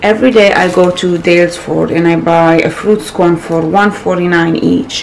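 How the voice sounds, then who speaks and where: In a non-native accent, a woman speaks at a moderate pace with hardly any pauses, a fairly low pitch, fairly even intonation, and very even loudness, amid audible room echo and noticeable background noise. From Morocco. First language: not English. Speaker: lifestyle vlogger. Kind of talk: casual vlog.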